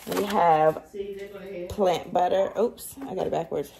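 A woman speaks at a fairly slow pace, with light background noise present. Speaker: home cooking vlogger. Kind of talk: casual vlog chat. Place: kitchen. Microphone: phone near.

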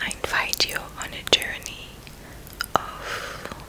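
A woman whispers in a soothing, gentle tone. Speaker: spiritual healer and meditation guide. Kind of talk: ASMR guided healing meditation. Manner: whispered, gentle; soft-spoken, slow, soothing. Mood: tender, meditative. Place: home room. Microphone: studio mic.

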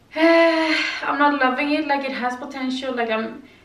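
The woman's delivery is fairly slow. The room adds an audible echo. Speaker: vlogger. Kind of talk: casual vlog chat. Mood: mildly critical, relaxed. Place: home room. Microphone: camera far.

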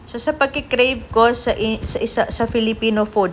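A woman's speech comes through with noticeable background noise. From Philippines. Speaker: vlogger. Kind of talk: casual vlog narration.

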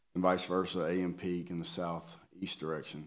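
A man with a very deep, low voice speaks at a moderate pace. The background is quiet. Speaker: presenter. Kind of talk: meeting presentation. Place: meeting room. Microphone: podium.

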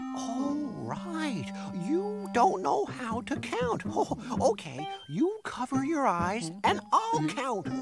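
Over clear background music, a cartoonish character voice with a fairly high pitch speaks at a very slow pace. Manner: fussy, exaggerating.

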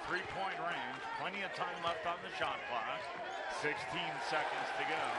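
At a fairly slow pace, the voice comes through dry with no echo over loud background noise. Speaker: play-by-play announcer. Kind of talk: live sports commentary, play-by-play. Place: stadium. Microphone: headset.

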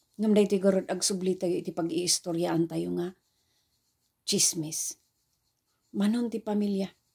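A woman's dark, mellow voice at a moderate pace, with fairly even intonation, long, frequent pauses and a quiet background. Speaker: preacher. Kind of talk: sermon. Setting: online video. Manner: formal; earnest. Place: home room. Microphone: phone near.

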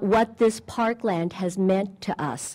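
A woman talks with ordinary pitch variation, and the background is quiet. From Southern California. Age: 60s. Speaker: longtime local resident; speaker. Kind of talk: ceremonial speech with personal memories. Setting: outdoors at a park ceremony. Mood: warm, nostalgic. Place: open country. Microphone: podium.

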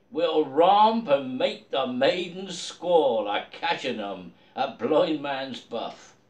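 A man with a Dorset accent at a very slow pace, very wide pitch swings, audible room echo. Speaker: poetry reader in costume. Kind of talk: poetry reading. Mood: festive, jovial. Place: home room. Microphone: phone near.

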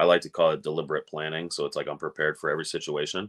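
The background stays quiet as a man speaks. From Wisconsin. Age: 30s. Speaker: college football reporter. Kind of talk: casual sports talk. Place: home room. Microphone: webcam.

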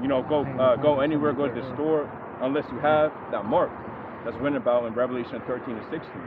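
A man talks at a very fast pace in a fairly high pitch with fairly even intonation, and there is noticeable background noise. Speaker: scripture reader. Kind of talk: reading aloud.

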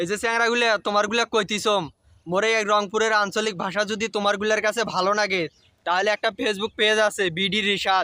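In a Rangpur accent, a man uses a raised, projected voice at a high pitch, with a playful tone, a bright, sharp sound, monotone, flat intonation and very even loudness, recorded dry and close with no echo. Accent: Rangpur regional Bengali dialect. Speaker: social media content creator. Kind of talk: dialect demonstration. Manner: casual, playful.

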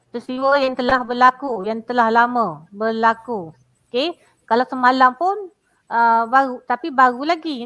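Over a quiet background, a woman speaks at a fairly slow pace in a high, bright, sharp voice with an animated tone and lively intonation. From Malaysia, Pahang; Malaysia. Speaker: primary school teacher. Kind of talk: lecture. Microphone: headset.

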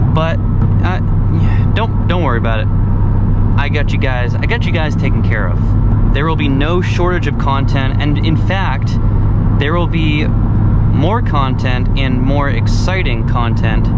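A man talks at a fairly slow pace over loud background noise, the sound dry with no echo. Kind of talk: casual vlog chat. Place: car. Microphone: camera far.

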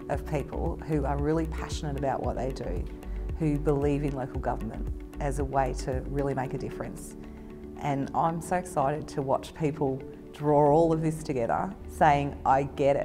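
Over clear music in the background, a woman talks at a moderate pace. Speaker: council manager. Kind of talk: interview answer. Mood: enthusiastic, positive. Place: street.

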